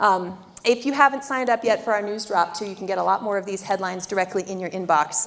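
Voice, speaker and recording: Her intonation lively, a woman rattles along at a very fast pace. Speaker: river district staff presenter. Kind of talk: public presentation.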